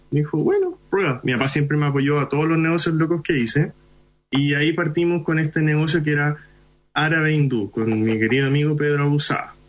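Over noticeable background noise, a man talks at a fairly quick pace in a fairly high pitch. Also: fairly even intonation, very even loudness. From Chile (Iquique), Indian parents. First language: Hindi (speaking Spanish). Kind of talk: interview.

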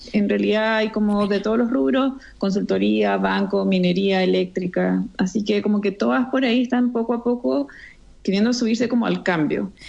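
Her voice is an ordinary speaking voice: a woman at medium pitch, moderate pace, lively intonation, and very even loudness. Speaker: entrepreneur, co-founder. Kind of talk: interview.

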